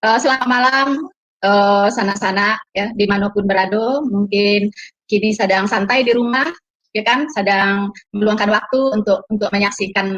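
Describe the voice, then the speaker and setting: A woman with a Minangkabau accent, fairly high pitch, ordinary pitch variation and a fairly slow pace. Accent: Minang. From West Sumatra, Payakumbuh (Minang). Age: 50s. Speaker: testimony guest, convert. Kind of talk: casual chat.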